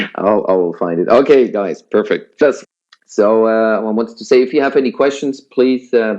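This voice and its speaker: With a Swiss German accent, a man talks at a moderate pace in a dark, mellow tone, his medium pitch showing ordinary variation. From Switzerland. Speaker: business presenter. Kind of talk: sales pitch webinar. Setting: online webinar. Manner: hesitant, many fillers.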